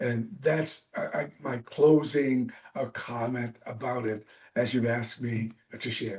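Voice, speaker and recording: Somewhat breathy, the voice moves at a very slow pace with fairly even intonation. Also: man, medium pitch for a man. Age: 70s. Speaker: author and personal growth speaker. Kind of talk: interview. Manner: halting.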